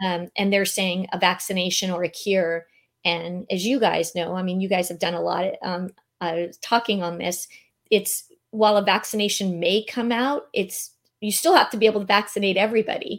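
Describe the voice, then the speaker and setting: A woman in a Californian accent, medium in pitch, at a moderate pace with fairly even intonation, on a very clean recording with a silent background. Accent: Californian American. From San Diego, California. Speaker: meeting and event planner. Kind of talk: casual interview.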